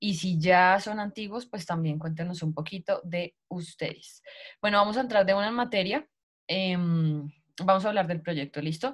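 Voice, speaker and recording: Over a quiet background, a woman talks at a fairly slow pace in a somewhat breathy voice. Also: ordinary pitch variation. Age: 30s. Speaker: network marketing recruiter; sales team leader presenting. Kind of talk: sales pitch. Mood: warm, motivational. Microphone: video call.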